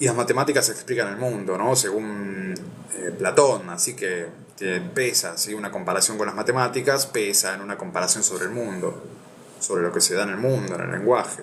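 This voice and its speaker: Against noticeable background noise, a man talks at a moderate pace with a fairly low pitch and ordinary pitch variation. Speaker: philosophy video host. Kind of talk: reading aloud with commentary. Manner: stuttering, repeats words.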